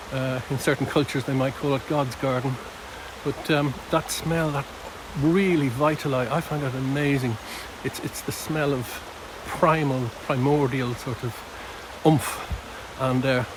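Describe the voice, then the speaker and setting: Noticeable background noise accompanies a man whose fairly high voice moves at a fairly slow pace with fairly even intonation and long, frequent pauses, the sound dry with no echo. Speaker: nature observation vlogger. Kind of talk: outdoor walking vlog narration. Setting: outdoors in woodland nature reserve. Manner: hesitant, many fillers; speaking quietly. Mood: calm, reflective, appreciative. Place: forest. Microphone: phone near.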